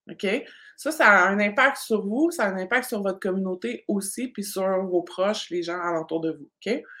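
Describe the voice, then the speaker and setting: A woman speaks at a moderate pace in a medium pitch. Her tone is bright and sharp, and her intonation lively. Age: 40s. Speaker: business coach. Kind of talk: live online masterclass. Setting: live stream. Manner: animated.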